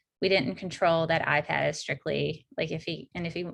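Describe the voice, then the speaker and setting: A woman speaks at a fairly quick pace. Her voice is very deep and low, with vocal fry. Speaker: workshop presenter. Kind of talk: online workshop talk. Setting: video call. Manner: fast.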